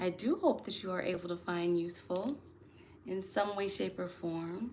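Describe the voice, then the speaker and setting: A soft-spoken woman of medium pitch talks at a moderate pace with ordinary pitch variation. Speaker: tarot and astrology reader. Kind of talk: live stream chat.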